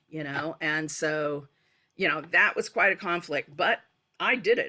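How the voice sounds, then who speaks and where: Her bright, sharp tone sits at a fairly low pitch as this woman speaks with an American accent and ordinary pitch variation. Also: very clean recording, silent background. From West Virginia, USA. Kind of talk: oral history interview answer. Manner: casual, hesitant.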